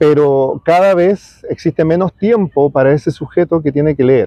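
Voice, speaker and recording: Fairly slow in pace, a man speaks at a fairly high pitch with ordinary pitch variation. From Chile. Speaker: writer. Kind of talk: interview. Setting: outdoors in a park. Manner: halting, many repetitions and fillers.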